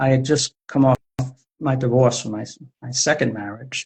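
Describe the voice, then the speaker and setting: A man with an American accent talks at a moderate pace in a medium pitch, somewhat breathy, with fairly even intonation. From US Northeast, Providence, Rhode Island. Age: 60s. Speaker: poet and author. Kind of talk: interview conversation. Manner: halting.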